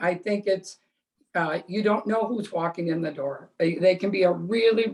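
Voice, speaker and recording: A woman's normal speaking voice, medium in pitch, with fairly even intonation. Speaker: real estate agent. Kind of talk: panel discussion.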